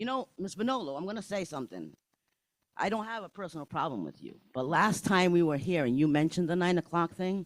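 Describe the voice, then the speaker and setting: Loud and animated, a man with an American accent talks at a high pitch and a fairly quick pace with lively intonation, recorded dry and close with no echo. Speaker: parent speaking at public comment. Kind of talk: public comment at school board meeting.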